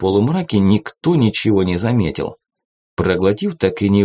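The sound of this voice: An unforced reading voice is heard over a quiet background.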